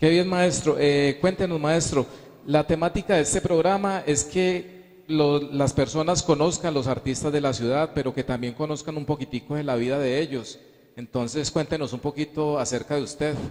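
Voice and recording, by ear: A man speaks at a moderate pace with few pauses and a fairly high pitch. His tone is slightly mellow and his intonation fairly even.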